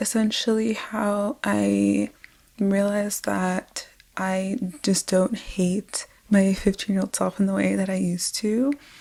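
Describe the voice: A soft-spoken woman talks at a fairly slow pace with vocal fry. Her tone is dark and mellow, at a medium pitch.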